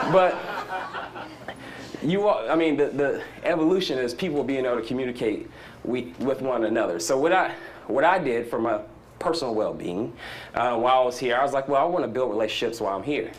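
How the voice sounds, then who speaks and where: Lively intonation from a man with a Southern US accent at medium pitch, a fairly quick pace broken by long, frequent pauses, and audible room echo. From US South. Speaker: startup entrepreneur speaker. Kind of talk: conference talk. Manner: animated; fast.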